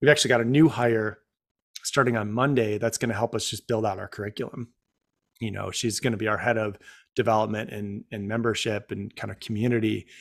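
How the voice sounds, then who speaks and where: A man with an American accent speaks at a fairly quick pace in a medium pitch, on a very clean recording with a silent background. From Central New York State (Rome, NY). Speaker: startup founder and CEO. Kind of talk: casual interview. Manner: hesitant, many fillers and repeats.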